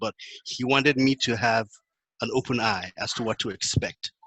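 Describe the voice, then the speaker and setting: With a Nigerian accent, a man speaks in a dry, close sound with no echo. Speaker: panelist. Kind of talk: panel discussion.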